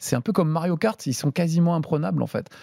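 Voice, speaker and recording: A man's fairly high yet dark, mellow voice, dry and close with no echo, in a very clean recording with a silent background. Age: 50s. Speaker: TV host and streamer. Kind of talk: casual chat.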